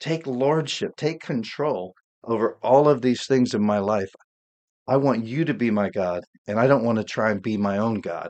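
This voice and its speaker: He has an unremarkable speaking voice. This man moves at a moderate pace, his pitch varying in an ordinary way. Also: medium pitch for a man. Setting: home studio, solo podcast. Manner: warm, earnest, fervent prayer tone.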